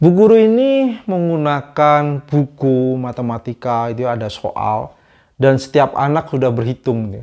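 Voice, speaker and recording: Against a quiet background, a man with a dark, mellow tone and medium pitch speaks at a fairly slow pace with hardly any pauses, lively intonation, and big swings in loudness. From Java, Indonesia. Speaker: vlogger. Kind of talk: casual storytelling monologue. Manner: casual.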